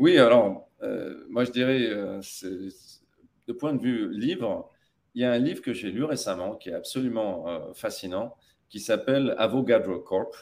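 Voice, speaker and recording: A man talks fairly slowly. There are big swings in his loudness. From Tunisia (Tataouine). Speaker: tech company CEO. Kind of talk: interview.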